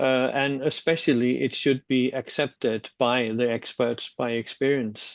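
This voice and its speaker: Monotone and flat, a man with a Danish accent speaks at a fairly slow pace and medium pitch, the sound dry and close with no echo. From Denmark. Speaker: social work researcher. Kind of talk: webinar discussion. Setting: online webinar. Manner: halting, with many fillers.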